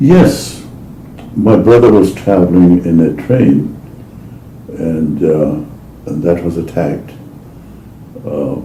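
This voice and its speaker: Speaking at a very slow pace with long, frequent pauses, a man with a very deep, low pitch uses lively intonation amid noticeable background noise and audible room echo. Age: 80s+. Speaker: oral history interviewee. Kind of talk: oral history interview. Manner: halting.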